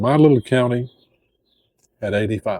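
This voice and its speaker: A man speaks in a dark, mellow tone with ordinary pitch variation, recorded with a dry, close sound and no echo. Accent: Appalachian. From Appalachian Tennessee, USA. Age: old. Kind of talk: casual talk to camera.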